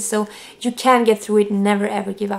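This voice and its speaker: With noticeable background noise behind her, a woman speaks in a Swedish accent. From Sweden. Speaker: vlogger. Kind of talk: personal testimony to camera. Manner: halting.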